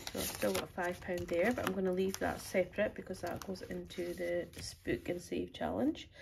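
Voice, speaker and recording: A woman's Highland Scottish accent with hardly any pauses, amid noticeable background noise. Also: moderate pace. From Scottish Highlands. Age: 40s. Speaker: budgeting vlogger. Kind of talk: casual vlog talk. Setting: at home on sofa, partner beside her. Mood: relaxed, upbeat. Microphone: phone near.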